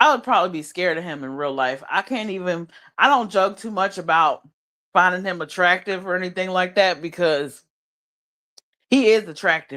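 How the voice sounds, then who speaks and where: In a very clean recording with a silent background, a woman speaks at a moderate pace with a bright, sharp, animated tone. Her intonation is lively, and her loudness swings widely. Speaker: live streamer. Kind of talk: casual chat. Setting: livestream.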